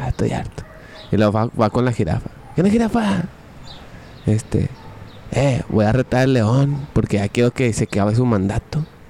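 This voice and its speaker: Over noticeable background noise, a man with a Mexican accent and a medium pitch speaks at a moderate pace with lively intonation and long, frequent pauses. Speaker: podcast co-host. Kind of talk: casual chat. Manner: animated.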